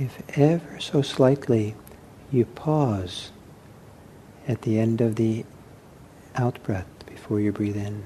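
Calm and soothing in tone, a man speaks at medium pitch with ordinary pitch variation. He goes at a very slow pace with long, frequent pauses. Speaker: meditation teacher. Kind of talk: guided meditation. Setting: meditation hall recording. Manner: slow, soft-spoken, gently paced with long pauses; calm, soothing, hesitant and unhurried.

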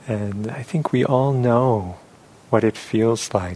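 Noticeable background noise sits behind a man with a fairly low pitch. He speaks very slowly in a calm, gentle tone with ordinary pitch variation. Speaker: meditation teacher. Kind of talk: guided meditation. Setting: meditation hall with audience. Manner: slow, calm, gentle; soft-spoken, pausing often.

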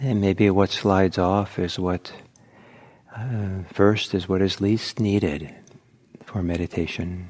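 The speech moves at a very slow pace with long, frequent pauses. Its tone is calm and gentle, with fairly even intonation. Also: man, very deep, low pitch for a man. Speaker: meditation teacher. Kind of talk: guided meditation. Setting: talk to live audience at meditation center. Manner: slow, calm, soft-spoken; gentle, unhurried, with pauses.

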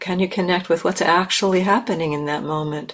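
This woman has a normal speaking voice, fairly low in pitch. Her pitch varies an ordinary amount. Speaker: meditation teacher. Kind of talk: gentle guided meditation, spoken invitations to notice the body and breath. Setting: meditation hall. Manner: slow and unhurried, with long pauses between phrases; soft-spoken and kindly reassuring, gently inviting.

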